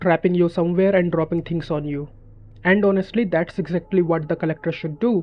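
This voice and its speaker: A high-pitched man at a fairly quick pace with fairly even intonation. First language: not English. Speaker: gaming YouTuber. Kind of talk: scripted narration.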